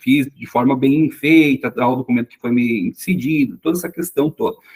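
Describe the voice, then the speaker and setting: With a strong southern Brazilian accent, a man speaks at a fairly high pitch with lively intonation in a dry, close sound with no echo. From southern Brazil, Rio Grande do Sul. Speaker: legal assistant and sworn translator. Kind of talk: interview. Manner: halting, many fillers.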